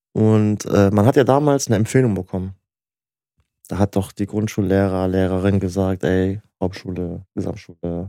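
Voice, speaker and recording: A man's very deep, low voice with a dark, mellow tone and ordinary pitch variation, in a very clean recording against a silent background. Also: dry, close sound with no echo. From Germany, Turkish family. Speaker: podcast co-host. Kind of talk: casual chat.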